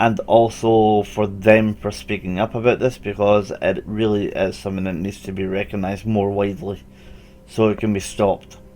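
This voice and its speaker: A man's fairly low, monotone voice with a Scottish accent, flat in intonation, at a moderate pace, with music in the background. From Scotland. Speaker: animal welfare YouTuber. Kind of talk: casual commentary video.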